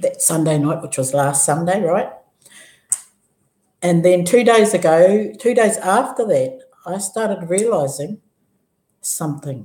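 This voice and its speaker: A woman speaks at a fairly slow pace with a medium pitch, a somewhat breathy, dark and mellow tone, lively intonation, and long, frequent pauses. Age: 60s. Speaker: vlogger sharing health story. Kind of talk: personal testimony. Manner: animated, halting with many restarts.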